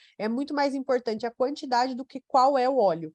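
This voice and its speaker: A woman's high-pitched voice at a moderate pace, dry and close with no echo. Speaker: nutrition doctor. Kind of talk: webinar Q&A. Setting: online webinar.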